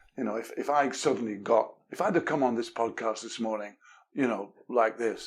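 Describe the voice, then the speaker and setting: A man speaks with an English accent at a fairly quick pace. His medium pitch shows ordinary variation. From England. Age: 70s. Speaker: communication expert, author. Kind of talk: podcast interview. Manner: animated.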